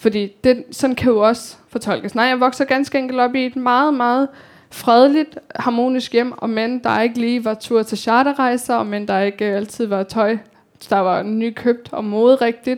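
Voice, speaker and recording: A woman's high voice moves at a fairly slow pace, its intonation fairly even. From Denmark, Copenhagen (Amager). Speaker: author. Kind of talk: talk with audience Q&A. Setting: library event with audience.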